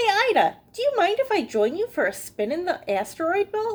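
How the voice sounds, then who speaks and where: Using a put-on character voice, a woman talks at a moderate pace in an extremely high, squeaky pitch with very wide pitch swings. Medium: read story.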